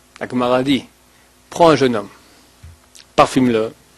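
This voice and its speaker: Here a man speaks at a medium pitch. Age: 40s. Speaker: rabbi. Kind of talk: lecture. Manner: animated.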